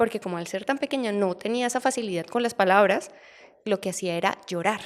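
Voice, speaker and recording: A medium-pitched woman with a Colombian accent, at a fairly quick pace and with ordinary pitch variation. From Colombia, Barranquilla then Bogotá. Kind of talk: interview testimony.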